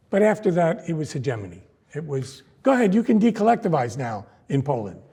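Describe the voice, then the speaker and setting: In a dark, mellow tone, a man with an American accent speaks at a fairly quick pace, somewhat breathy. His pitch swings very widely. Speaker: history professor. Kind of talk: lecture.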